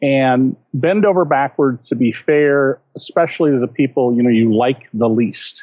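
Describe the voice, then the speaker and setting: A man with a normal speaking voice keeps a medium pitch, ordinary pitch variation and very even loudness, talking at a moderate pace with hardly any pauses. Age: 60s. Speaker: investigative journalist and author. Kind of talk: interview.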